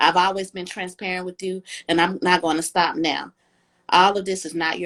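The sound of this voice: Against a quiet background, an unforced reading voice keeps its intonation fairly even.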